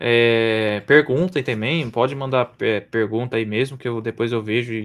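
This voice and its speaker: A man's medium pitch with fairly even intonation. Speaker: AI specialist, course instructor. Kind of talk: live online presentation wrap-up. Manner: fast.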